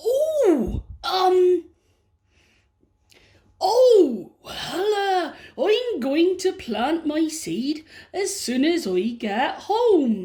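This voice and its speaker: A woman's put-on character voice, extremely high in pitch, at a very slow pace with long, frequent pauses. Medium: read story. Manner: grumbling, hesitant.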